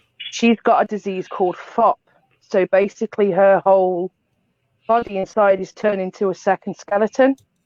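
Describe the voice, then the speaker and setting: In a Liverpool accent, a woman talks at a moderate pace with fairly even intonation. The sound is dry and close, with no echo. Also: medium pitch for a woman. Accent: Scouse. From Liverpool, England. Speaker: paranormal investigation team leader. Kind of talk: casual chat.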